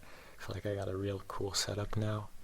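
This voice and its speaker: A man talks with monotone, flat intonation. His fairly low voice is somewhat breathy. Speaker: ASMR creator. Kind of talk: soft-spoken ASMR ramble to camera. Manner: casual, rambling, humorous.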